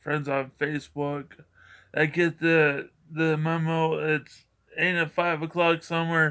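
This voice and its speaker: On a very clean recording with a silent background, a man speaks at a high pitch with a bright, sharp tone. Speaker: vlogger, school worker. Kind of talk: casual vlog monologue. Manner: rambling, repetitive halting speech.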